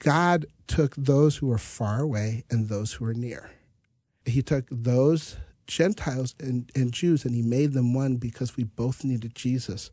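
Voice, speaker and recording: With an American accent, a man talks at a fairly slow pace and a medium pitch. His voice is somewhat breathy, with ordinary pitch variation. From US Midwest (North Dakota). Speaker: pastor. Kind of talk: Bible study conversation.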